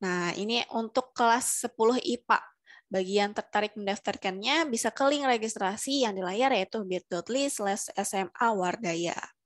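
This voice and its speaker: Speaking at a fairly slow pace with hardly any pauses, a woman with a fairly high voice shows ordinary pitch variation against a quiet background. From Indonesia. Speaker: webinar moderator. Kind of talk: formal announcement. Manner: formal. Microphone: headset.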